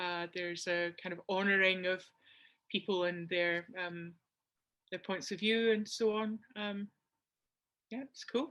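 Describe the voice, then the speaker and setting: A woman with a Scottish accent speaks at a fairly slow pace in a medium pitch, her tone bright and sharp and her intonation fairly even. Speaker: community participant. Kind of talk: casual chat. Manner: halting.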